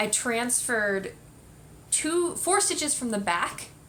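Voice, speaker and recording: With lively intonation, a woman talks at a fairly slow pace amid noticeable background noise and audible room echo. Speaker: knitting podcast host. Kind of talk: casual chat.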